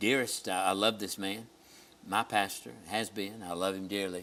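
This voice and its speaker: This man has a Southern US accent, a fairly low pitch, a bright, sharp tone and fairly even intonation. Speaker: pastor and TV host. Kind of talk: TV show chat.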